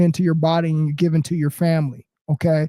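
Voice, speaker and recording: A loud man with a dark, mellow tone and a high pitch speaks at a fairly quick pace, and the sound is dry and close with no echo. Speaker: motivational live streamer. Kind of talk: casual live stream monologue. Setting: home apartment.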